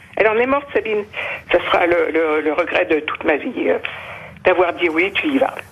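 Over noticeable background noise, a woman speaks at a moderate pace in a medium pitch, her voice swinging very widely in pitch and broken by long, frequent pauses. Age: old. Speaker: victim's mother. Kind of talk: emotional testimony.

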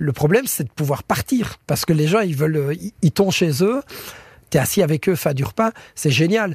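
Speaking at a moderate pace with lively intonation, a man with a fairly high pitch comes through a very clean, dry, close recording with no echo and a silent background. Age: 30s. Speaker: chef, cooking contest finalist. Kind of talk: interview. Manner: halting, frequent repetitions.

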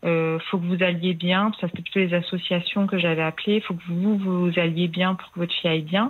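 Speaking at a fairly quick pace with hardly any pauses, a woman keeps a fairly low pitch and a monotone, flat intonation. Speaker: caller, mother. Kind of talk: personal confession on a radio call-in. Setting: phone call.

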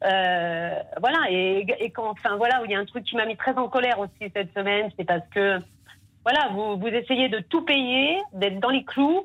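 In a normal speaking voice, a woman talks at a fairly slow pace and fairly high pitch with lively intonation. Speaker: caller, domestic worker. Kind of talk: phone call question to guest. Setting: phone call.

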